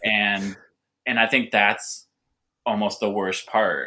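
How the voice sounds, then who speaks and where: A man's bright, sharp voice, flat and monotone, at a fairly slow pace in a very clean recording with a silent background. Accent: Californian. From Southern California. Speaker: winemaker and cider maker. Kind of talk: podcast interview. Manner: halting, repetitive.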